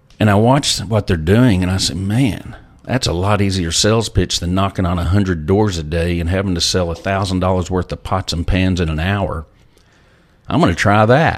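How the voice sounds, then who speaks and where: With a Texan accent, a man talks at a moderate pace in a very deep, low pitch with ordinary pitch variation. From Texas, Lubbock. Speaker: former oil company CEO. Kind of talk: interview.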